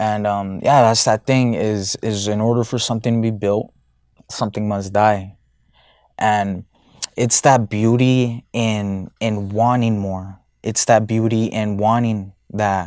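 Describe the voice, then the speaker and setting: A man speaks at a fairly slow pace with a fairly low pitch and monotone, flat intonation. The recording is very clean, with a silent background. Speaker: men's self-improvement podcaster. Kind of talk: casual monologue. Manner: halting, many fillers and repetitions.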